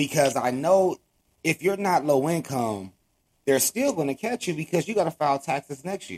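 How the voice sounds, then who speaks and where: A man with an American accent has an unremarkable speaking voice at a fairly high pitch. He uses lively intonation at a moderate pace, and the sound is dry and close with no echo. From Los Angeles, California (Watts). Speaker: podcast host. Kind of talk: interview.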